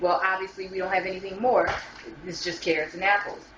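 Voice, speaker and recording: Noticeable background noise and audible room echo fill the space. In it, a woman speaks very fast. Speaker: home juicing demonstrator. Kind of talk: tutorial. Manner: casual, conversational with fillers.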